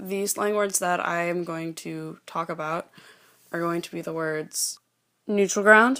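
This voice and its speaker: Her tone bright and sharp, a woman speaks at a fairly slow pace in a fairly low pitch with fairly even intonation and big swings in loudness, on a very clean recording with a silent background. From Louisiana, New Orleans area. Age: 20s. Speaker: student. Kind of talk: informal presentation on dialect words. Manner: hesitant, with frequent fillers.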